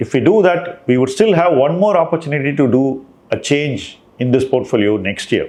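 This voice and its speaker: A man with an Indian accent speaks at a fairly slow pace. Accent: Indian English (Tamil). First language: Tamil. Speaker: investment manager. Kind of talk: monthly portfolio review talk.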